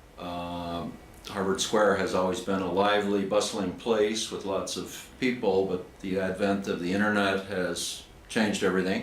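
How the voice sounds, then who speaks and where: A man's monotone, flat intonation with noticeable background noise and audible room echo. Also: fairly low pitch for a man, moderate pace. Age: 60s. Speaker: chess player. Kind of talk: casual interview.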